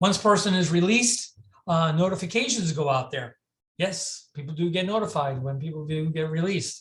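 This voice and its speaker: Ordinary pitch variation and a fairly quick pace from a man with a high voice. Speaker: mental health crisis services director and presenter. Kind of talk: lecture. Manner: fast; halting, many fillers and restarts.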